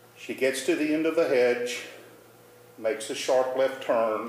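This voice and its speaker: There is audible room echo around a man's voice. He speaks at a very slow pace and a medium pitch. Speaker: storyteller. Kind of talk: personal storytelling performance.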